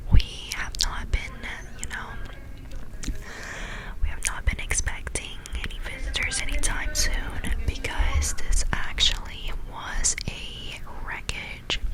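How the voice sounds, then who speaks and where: A whisper comes very slowly, broken by long, frequent pauses, over noticeable background noise. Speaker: ASMR creator. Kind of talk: improvised bedtime story. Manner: whispered, soft-spoken.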